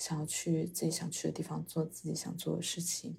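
Vocal fry colors this woman's fairly low voice. She keeps a moderate pace. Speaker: podcast co-host. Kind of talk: casual chat.

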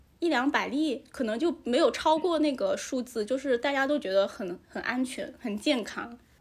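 A woman with a high pitch and ordinary pitch variation talks with hardly any pauses. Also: moderate pace. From Hainan, China. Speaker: guest sharing local life. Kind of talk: casual chat, interview.

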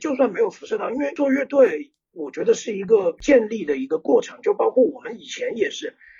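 A man speaking at a moderate pace. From small Chinese city. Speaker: rock band lead singer. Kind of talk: casual chat.

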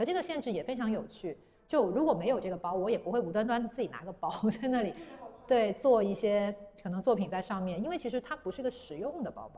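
Over noticeable background noise, a woman talks very fast with a fairly high pitch and lively intonation. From southern China, Guangzhou. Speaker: paper-cut artist. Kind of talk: interview conversation.

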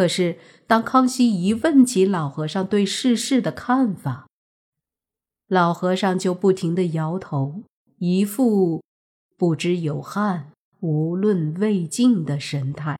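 In a very clean recording with a silent background, a woman with medium pitch talks at a very slow pace, somewhat breathy, with lively intonation. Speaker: history storytelling podcast host. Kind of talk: storytelling narration.

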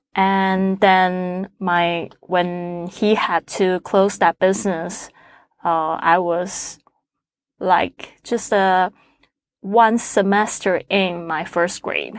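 In a Chinese accent, a woman speaks at a very slow pace and a medium pitch with monotone, flat intonation, in a dry, close sound with no echo on a very clean recording with a silent background. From Taiwan. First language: Mandarin Chinese. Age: 40s. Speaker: podcaster. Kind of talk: interview. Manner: halting, many fillers.

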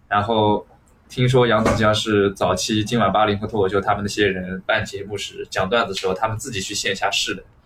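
At a fairly quick pace, a man talks at a fairly low pitch with monotone, flat intonation. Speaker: stand-up comedian. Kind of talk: casual chat.

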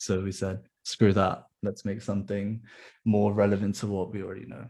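A man's fairly low voice with vocal fry at a fairly quick pace, on a very clean recording with a silent background. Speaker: startup founder, software developer. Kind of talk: casual chat.

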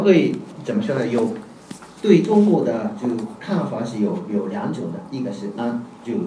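A man with a Japanese accent and a fairly high pitch, his pitch swinging very widely, amid audible room echo and noticeable background noise. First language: Japanese (speaking Chinese). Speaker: professor. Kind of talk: academic panel talk. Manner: halting.

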